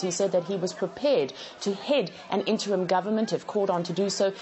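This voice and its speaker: Over crowd noise in the background, a woman talks at a very fast pace. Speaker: field correspondent. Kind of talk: news report.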